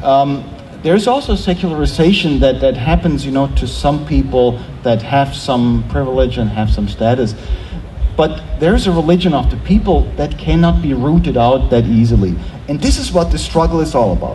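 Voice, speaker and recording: A man speaks at a moderate pace in a German accent. Noticeable background noise and audible room echo fill the recording. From Germany, small town. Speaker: theology professor. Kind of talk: panel discussion.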